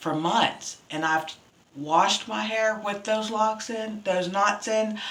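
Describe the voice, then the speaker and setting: Audible room echo surrounds a woman with a fairly high pitch. She speaks at a fairly slow pace with ordinary pitch variation. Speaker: beauty vlogger. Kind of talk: casual hair care vlog.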